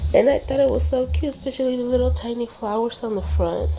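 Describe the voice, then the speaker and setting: A woman talks over noticeable background noise. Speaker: craft vlogger. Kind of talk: casual video blog. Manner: hesitant fillers.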